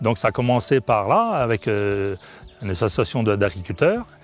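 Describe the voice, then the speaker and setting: A man speaks in a fairly low pitch with ordinary pitch variation over noticeable background noise. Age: 60s. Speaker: farmer and cooperative board member. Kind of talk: testimony. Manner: halting.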